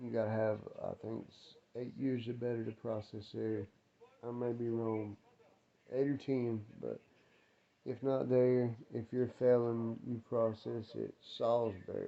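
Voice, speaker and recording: A man with an American accent speaks at medium pitch in a monotone, flat intonation. His fairly slow delivery has long, frequent pauses and big swings in loudness. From North Carolina, Winston-Salem. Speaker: ex-prisoner vlogger. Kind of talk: casual storytelling vlog. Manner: casual, rambling with fillers; quiet, keeping voice down.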